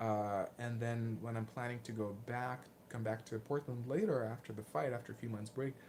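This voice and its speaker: A man's medium-pitched voice with a Lithuanian accent and fairly even intonation. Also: moderate pace. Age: 20s. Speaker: martial arts vlogger. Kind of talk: livestream Q&A. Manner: hesitant, many fillers and repeats.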